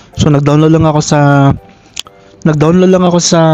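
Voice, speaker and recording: Amid noticeable background noise, a soft-spoken man talks at a fairly quick pace with a fairly high pitch. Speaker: vlogger. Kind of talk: mic test tutorial. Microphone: new wireless clip-on mic to phone.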